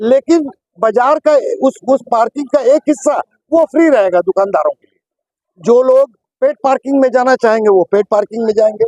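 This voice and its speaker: Dry and close with no echo, a man's extremely high-pitched voice has a dark, mellow tone and big swings in loudness. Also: ordinary pitch variation. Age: 70s. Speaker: shopkeeper, market committee member. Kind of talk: protest interview statement. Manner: repetitive, with hesitations.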